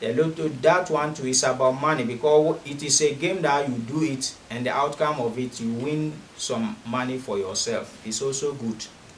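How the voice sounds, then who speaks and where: A man's fairly high-pitched voice at a moderate pace, with hardly any pauses, ordinary pitch variation, audible room echo and noticeable background noise. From Ghana. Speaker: spiritualist offering money rituals. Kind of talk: promotional monologue.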